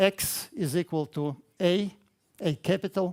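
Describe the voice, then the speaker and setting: A high-pitched man with a Russian accent speaks with ordinary pitch variation on a very clean recording with a silent background, the sound dry and close with no echo. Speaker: mathematics education researcher. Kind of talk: conference talk. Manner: halting, many fillers.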